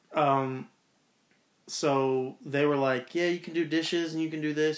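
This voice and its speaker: A plain, everyday voice, a man's, fairly high-pitched with ordinary pitch variation. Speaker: departing retail manager. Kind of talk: casual chat.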